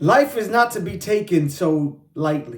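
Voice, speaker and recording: A man's fairly slow speech with very wide pitch swings. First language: Spanish. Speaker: podcast host and rapper-poet. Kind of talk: motivational talk. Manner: casual, repetitive.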